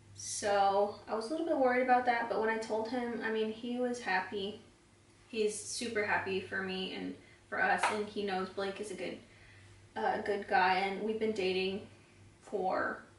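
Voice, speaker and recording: Amid noticeable background noise and audible room echo, a woman with a fairly high pitch talks at a moderate pace with fairly even intonation. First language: Spanish. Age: 20s. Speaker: beauty vlogger. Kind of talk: casual chat while doing makeup tutorial.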